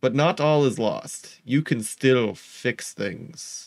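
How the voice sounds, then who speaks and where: A raspy put-on character voice from a man at medium pitch. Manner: persuasive, tempting.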